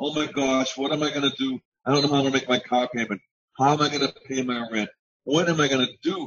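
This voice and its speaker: A man with a fairly high pitch at a very fast pace, over light background noise. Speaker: network marketing member. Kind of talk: testimony. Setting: video call. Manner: animated. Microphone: video call.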